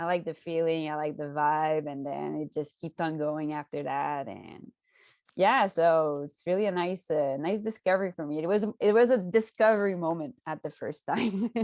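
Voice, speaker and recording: Recorded very cleanly with a silent background and a dry, close sound with no echo, a woman with a slight Quebec accent speaks at a moderate pace and a fairly low pitch, with ordinary pitch variation and big swings in loudness. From Quebec, Canada. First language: French. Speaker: cannabis content creator. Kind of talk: podcast interview.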